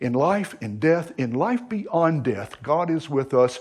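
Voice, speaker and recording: A man with an American accent at a fairly slow pace, against a quiet background. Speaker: pastor. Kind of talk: sermon. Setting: church.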